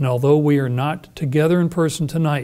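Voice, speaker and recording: His pitch varies normally as the man talks at a medium speed. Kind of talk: formal ceremonial address. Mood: formal, warm. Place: stage. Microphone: lapel.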